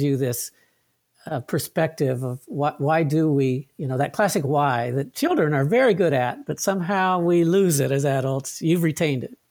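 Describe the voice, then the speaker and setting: A man talks in an ordinary speaking voice at a moderate pace and a fairly high pitch. His pitch variation is ordinary. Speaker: podcast host. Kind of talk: interview.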